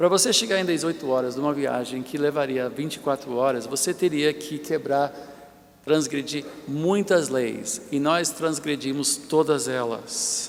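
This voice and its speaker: A man's fairly high voice at a fairly slow pace, with ordinary pitch variation over noticeable background noise. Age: 60s. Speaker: bishop, preacher. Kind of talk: sermon. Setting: church.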